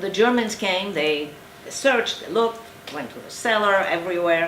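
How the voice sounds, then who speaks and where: Speaking at a medium pitch, a woman is heard through noticeable background noise and audible room echo. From eastern Poland. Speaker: Holocaust survivor. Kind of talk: testimony. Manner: halting.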